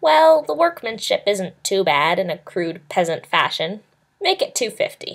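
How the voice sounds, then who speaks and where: A woman's whiny, put-on character voice at a moderate pace. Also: medium pitch for a woman. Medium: read story. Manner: sneering, whining.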